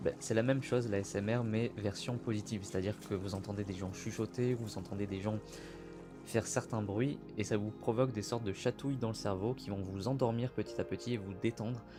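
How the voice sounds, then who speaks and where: A fairly low-pitched man at a fairly quick pace, with fairly even intonation and music in the background. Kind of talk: casual talk to camera intro. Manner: whispered, soft, relaxing.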